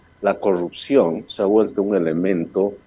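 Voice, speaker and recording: A man speaks at a very deep, low pitch with a dark, mellow tone. His intonation is fairly even. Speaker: presidential candidate. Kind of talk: interview.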